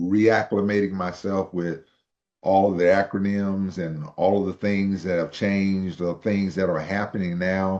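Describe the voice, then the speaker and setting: A man speaks at a fairly slow pace in a very deep, low pitch. His intonation is monotone and flat. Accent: American. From Texas. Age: 60s. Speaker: real estate investor, retired army veteran. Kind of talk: interview testimony.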